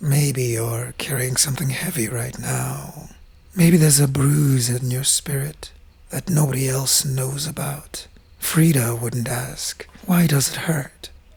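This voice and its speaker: The speaker talks at a fairly slow pace. Noticeable background noise is present. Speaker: journaling channel host. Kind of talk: reflective monologue.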